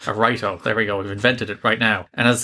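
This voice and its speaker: On a very clean recording with a silent background, a man with an Irish accent speaks very fast in a bright, sharp tone with fairly even intonation. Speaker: podcast co-host, film reviewer. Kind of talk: casual review chat.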